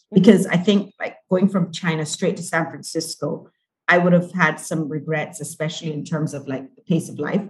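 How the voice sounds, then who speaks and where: This woman's somewhat breathy voice sits fairly low in pitch, moving at a moderate pace with fairly even intonation. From Barbados. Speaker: corporate event organizer. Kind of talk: interview.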